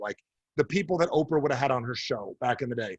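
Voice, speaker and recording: Talking very fast in a New Jersey accent, a man with a medium pitch sounds somewhat breathy and uses lively intonation, recorded in a dry, close sound with no echo. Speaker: speaker or coach addressing business audiences.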